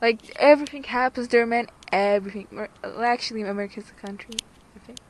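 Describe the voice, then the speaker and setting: In a Romanian accent, a woman with a fairly high pitch talks at a very fast pace with fairly even intonation and big swings in loudness over noticeable background noise. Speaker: YouTuber. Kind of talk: casual chat; reading aloud. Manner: halting.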